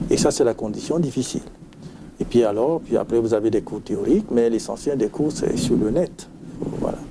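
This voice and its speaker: Against noticeable background noise, a man with a medium-pitched voice and lively intonation speaks at a moderate pace, leaving long, frequent pauses. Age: 60s. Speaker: sleep medicine doctor. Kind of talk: TV interview.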